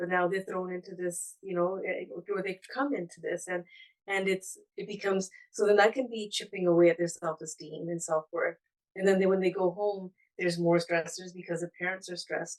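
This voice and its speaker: A woman speaks with a Punjabi accent at medium pitch. She talks at a fairly quick pace with fairly even intonation. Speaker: therapeutic counsellor. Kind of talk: webinar panel talk. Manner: halting, many repetitions and fillers.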